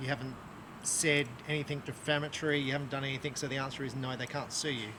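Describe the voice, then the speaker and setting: Speaking at a very fast pace, a man with an Australian accent has a fairly high pitch. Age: 50s. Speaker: archery shop owner and bow reviewer. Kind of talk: casual video review chat. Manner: halting, many fillers.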